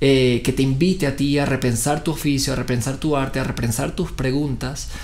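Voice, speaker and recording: A man talks at a fairly quick pace in a fairly high voice. Room echo is audible around him. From Venezuela. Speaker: actor. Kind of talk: interview. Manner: hesitant, many fillers.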